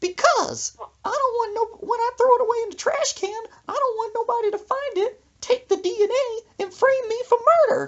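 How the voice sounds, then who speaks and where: Squeaky and extremely high, a put-on character voice moves at a moderate pace. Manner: matter-of-fact, paranoid.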